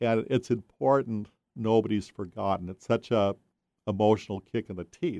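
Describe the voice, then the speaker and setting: A man speaks at a moderate pace in a fairly low pitch, with a dark, mellow tone and ordinary pitch variation. The sound is dry and close with no echo, and the loudness swings widely. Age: 60s. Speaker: author. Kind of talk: casual chat.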